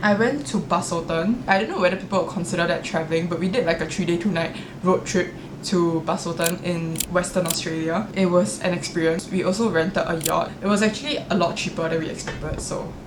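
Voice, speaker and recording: Fairly low female voice at a fairly quick pace with ordinary pitch variation, audible room echo and noticeable background noise. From Singapore. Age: 20s. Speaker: vlogger. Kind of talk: casual chat. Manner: chatty, uses many fillers.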